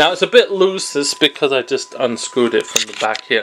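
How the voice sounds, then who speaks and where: There is a man talking. Some light noise sits in the background. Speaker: product reviewer. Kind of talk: casual review vlog. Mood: lighthearted, self-deprecating. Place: home room. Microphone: phone near.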